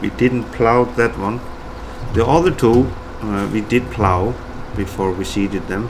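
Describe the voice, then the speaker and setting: Noticeable background noise accompanies a man with a fairly low pitch and ordinary pitch variation. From Iceland. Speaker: gaming YouTuber. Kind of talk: gameplay commentary. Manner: hesitant, many fillers; mumbling.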